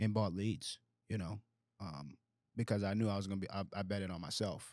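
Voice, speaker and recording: Over a silent background in a very clean recording, a man with a plain, everyday voice speaks at a fairly low pitch and a fairly quick pace. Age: 20s. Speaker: insurance agency owner. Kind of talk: casual chat.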